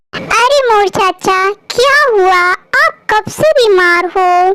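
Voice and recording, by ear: This cartoonish character voice is female-sounding and squeaky, with an extremely high pitch for a woman and a very slow pace.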